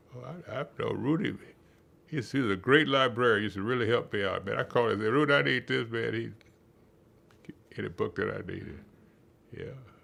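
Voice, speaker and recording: A man's medium-pitched, bright, sharp voice with vocal fry and lively intonation, very fast between long, frequent pauses. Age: 80s+. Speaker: retired psychology professor. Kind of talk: interview. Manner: halting.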